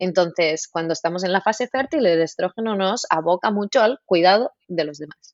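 A woman with an ordinary speaking voice talks at medium pitch and a moderate pace, with ordinary pitch variation and hardly any pauses. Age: 30s. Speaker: naturopath and nutritionist. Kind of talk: interview.

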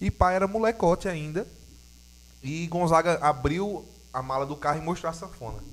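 A man with a high pitch and ordinary pitch variation talks at a moderate pace. He takes long, frequent pauses, and his loudness swings widely. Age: 20s. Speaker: podcast host. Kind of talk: casual chat.

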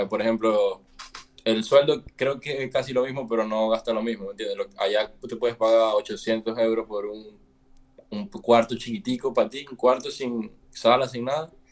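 A man speaks in a normal speaking voice at a medium pitch. His pace is moderate and his pitch varies in an ordinary way. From Venezuela. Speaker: musician. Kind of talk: casual chat.

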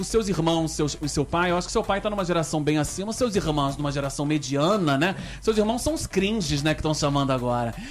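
An animated voice races along at a very fast pace over music in the background. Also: hardly any pauses. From Rio de Janeiro, Brazil. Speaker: radio talk show host. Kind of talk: casual interview.

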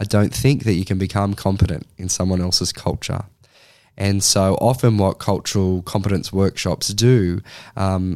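A man with a very deep, low pitch talks in an Australian accent. His intonation is fairly even, and the recording is very clean with a silent background. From Australia (Sydney). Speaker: social work lecturer. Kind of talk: interview conversation.

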